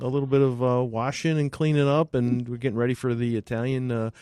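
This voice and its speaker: With a dark, mellow tone, a man speaks with fairly even intonation. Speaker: auto shop owner, podcast host. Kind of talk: casual interview conversation.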